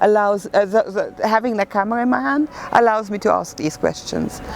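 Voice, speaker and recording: Delivery comes at a moderate pace with ordinary pitch variation. Noticeable background noise is present. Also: woman. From Germany. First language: German. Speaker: photographer. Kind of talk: interview. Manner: hesitant, many fillers.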